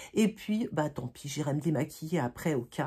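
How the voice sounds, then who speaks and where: A woman's very deep, low voice has a dark, mellow tone and sounds somewhat breathy. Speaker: beauty vlogger. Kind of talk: casual chat. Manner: halting, many fillers.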